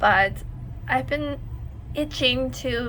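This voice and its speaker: A woman talks with audible echo from the room and clearly audible noise around her. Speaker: sticker designer and craft YouTuber. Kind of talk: tutorial. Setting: home desk by a window. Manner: casual, many fillers.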